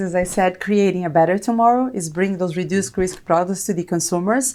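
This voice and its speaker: Very fast speech in a Brazilian accent with a dark, mellow tone. The recording is very clean, with a silent background. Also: woman. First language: Portuguese. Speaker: corporate technology executive. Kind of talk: interview.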